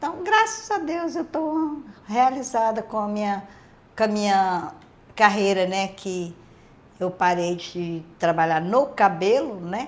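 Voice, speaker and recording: A woman speaks at a very slow pace with a medium pitch. Her voice makes very wide pitch swings. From Minas Gerais, Brazil. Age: 60s. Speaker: retired hairdresser. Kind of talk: interview.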